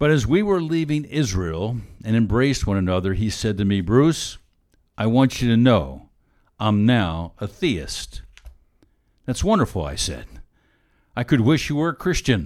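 With long, frequent pauses, a man talks at a medium pitch with very wide pitch swings. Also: very clean recording, silent background. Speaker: radio Bible teacher. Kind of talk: sermon.

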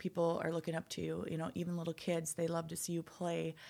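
A woman with an Upper Midwest accent speaks at a fairly low pitch and a moderate pace. The recording is very clean, with a silent background. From North Dakota. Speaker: nonprofit founder, IT professional. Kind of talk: casual interview.

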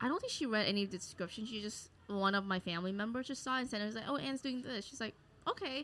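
A woman with an American accent at a very fast pace, with ordinary pitch variation. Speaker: comedian and podcast host. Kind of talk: casual chat. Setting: live recording at a market venue.

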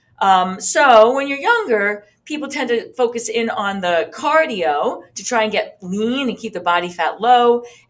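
An ordinary speaking voice, a woman's fairly high pitch moves with lively intonation at a fairly slow pace, with hardly any pauses. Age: 50s. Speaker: fitness instructor and podcast host. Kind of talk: tutorial. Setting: video recording with demonstration. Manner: casual, with many fillers.

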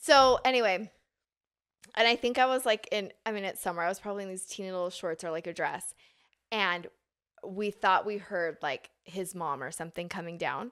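In a normal speaking voice with ordinary pitch variation, the speaker goes at a moderate pace on a very clean recording with a silent background. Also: woman, medium pitch for a woman. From Utah (Draper). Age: 30s. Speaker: fashion blogger and clothing business owner. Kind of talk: casual interview chat. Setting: studio.

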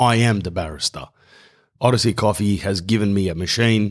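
An animated man with an Australian accent and a fairly low pitch, on a very clean recording with a silent background. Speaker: podcast host. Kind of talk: casual monologue. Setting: home garage.

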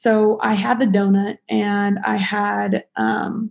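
A woman speaks with an American accent in an ordinary speaking voice. Her pitch is medium and her intonation fairly even. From Nevada (Las Vegas). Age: 20s. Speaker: student. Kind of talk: casual chat.

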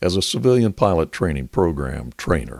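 In a very clean recording with a silent background and a dry, close sound with no echo, a man with very deep, low pitch and vocal fry speaks at a moderate pace with very wide pitch swings. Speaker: museum guide narrator. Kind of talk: history documentary narration. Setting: museum exhibit or park tour by a display aircraft. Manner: formal, even-paced, authoritative.

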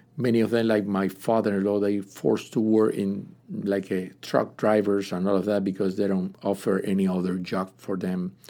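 With a Spanish accent, a man speaks at a moderate pace and fairly low pitch in a dark, mellow tone, his intonation monotone and flat. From Cuba. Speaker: pastor. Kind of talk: testimony. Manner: halting.

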